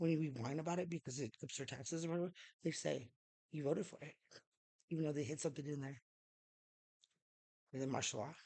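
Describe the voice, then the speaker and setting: Speaking at a very fast pace yet with long, frequent pauses, a woman uses a very deep, low, dark and mellow voice with ordinary pitch variation. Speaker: vlogger. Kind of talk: casual monologue. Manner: halting.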